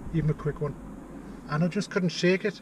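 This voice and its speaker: A man talks at a very fast pace with a high pitch. Noticeable background noise is present. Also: dry sound with no echo. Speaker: vlogger. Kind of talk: casual vlog chat. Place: car. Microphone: phone near.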